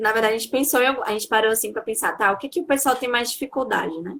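The woman has a plain, everyday voice. Her pitch is fairly high with ordinary pitch variation. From interior of Bahia, Brazil. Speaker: dance teacher. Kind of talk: casual interview.

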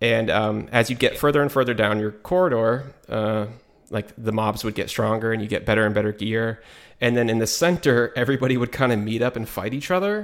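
A man with an ordinary speaking voice talks at a medium pitch. His pace is fairly quick, with ordinary pitch variation. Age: 30s. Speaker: gaming podcast co-host. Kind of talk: casual chat.

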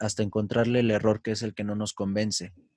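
A man with a Mexican accent speaks at a medium pitch, the sound dry and close with no echo. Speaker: musician, band leader. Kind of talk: casual chat.

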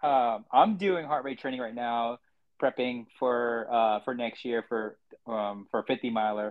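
A man talks in an unremarkable speaking voice at a medium pitch. He goes at a fairly slow pace with ordinary pitch variation. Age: 30s. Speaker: podcast host and amateur trail runner. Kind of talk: casual interview chat.

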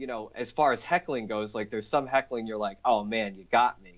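A man speaks in a plain, everyday voice. His pace is fairly quick, with ordinary pitch variation. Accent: American. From Philadelphia, US. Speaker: stand-up comedian. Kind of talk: casual interview. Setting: phone call.

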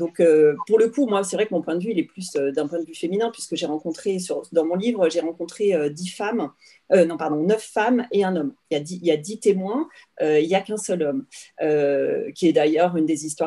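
Fairly low in pitch with a dark, mellow tone, a woman speaks at a moderate pace with ordinary pitch variation. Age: 40s. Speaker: author and illustrator. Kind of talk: interview.

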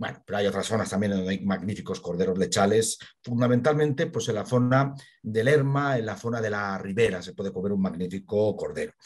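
Over a quiet background, a man talks in an ordinary speaking voice at a fairly quick pace, his fairly low pitch showing ordinary pitch variation. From Spain, Burgos. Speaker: local history expert. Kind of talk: interview.

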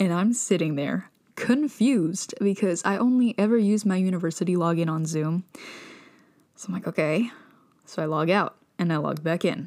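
An animated woman at a moderate pace, ordinary pitch variation, and long, frequent pauses. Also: medium pitch for a woman. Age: 20s. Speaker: podcast host, university student. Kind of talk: casual monologue.

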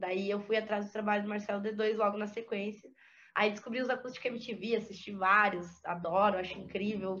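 A normal speaking voice delivered at a moderate pace. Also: woman. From interior of Santa Catarina, Brazil. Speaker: rapper and music producer. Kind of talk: interview conversation.

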